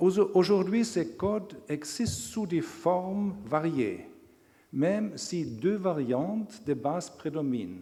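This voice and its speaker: A man speaks at a very slow pace in a high pitch, with a dark, mellow tone and a strong non-native accent. Audible room echo surrounds his voice. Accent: strong foreign accent in French. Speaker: law professor. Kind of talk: lecture. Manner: halting.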